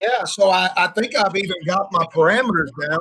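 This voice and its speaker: Speaking in a raised, projected voice, a man with a Southern US accent uses a high pitch, ordinary pitch variation and a fairly quick pace. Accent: Southern US, country. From Arkansas, originally from Florida. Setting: online voice call with screen sharing.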